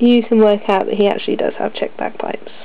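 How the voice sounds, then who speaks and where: A woman with a British accent, fairly quick, against noticeable background noise. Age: 20s. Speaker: miniature painter and wargamer. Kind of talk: casual talk to camera.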